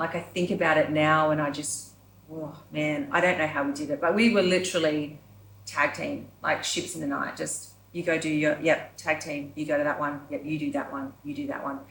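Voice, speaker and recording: At a moderate pace, a woman with an Australian accent and a very deep, low voice speaks with fairly even intonation. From Yamba, New South Wales, Australia. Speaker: performer and creative director. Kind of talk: podcast interview answer.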